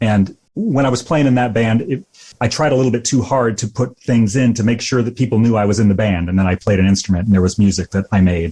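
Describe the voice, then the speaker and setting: A man talks at a medium pitch with a dark, mellow tone and a somewhat breathy quality. His pace is fairly quick, with ordinary pitch variation. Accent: American. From US Midwest, rural Illinois. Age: 50s. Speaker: musician. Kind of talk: podcast interview. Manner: halting.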